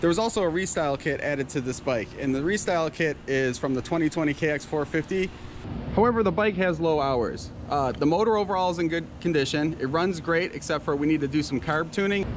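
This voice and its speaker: Amid noticeable background noise, a man with a fairly high pitch speaks very fast at a very even loudness, with ordinary pitch variation. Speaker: motocross vlogger, dirt bike flipper. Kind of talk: casual vlog walkthrough. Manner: excited, animated.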